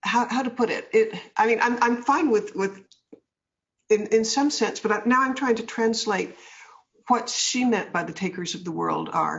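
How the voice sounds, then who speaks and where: Fairly high-pitched woman's voice with vocal fry, ordinary pitch variation and a moderate pace. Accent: American. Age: 70s. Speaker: author and businesswoman. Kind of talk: interview.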